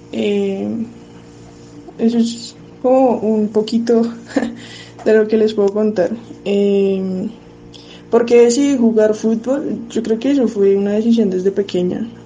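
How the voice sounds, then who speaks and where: With long, frequent pauses, a woman speaks at a very slow pace and fairly high pitch over noticeable background noise. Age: 20s. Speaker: footballer. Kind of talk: recorded testimony.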